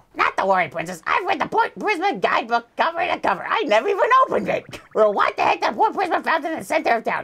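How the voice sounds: A man in a put-on character voice talks at a very fast clip with an extremely high pitch and hardly any pauses.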